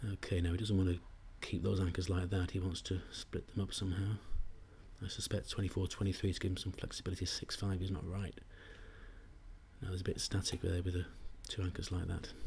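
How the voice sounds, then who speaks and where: The voice is quiet and somewhat breathy, monotone and flat, rushing at a very fast pace yet broken by long, frequent pauses. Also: man, very deep, low pitch for a man. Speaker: backgammon commentator. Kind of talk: live commentary. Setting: live stream at a tournament venue.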